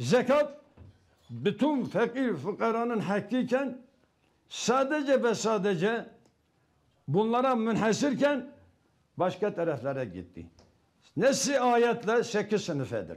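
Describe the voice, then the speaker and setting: High-pitched man, very slow pace with long, frequent pauses, lively intonation, in a quiet background. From eastern Turkey, Muş; Turkey. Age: 70s. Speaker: retired imam and religious teacher; TV guest. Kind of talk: live TV interview with religious sermon elements. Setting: remote video link from home. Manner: formal. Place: home room. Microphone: lapel.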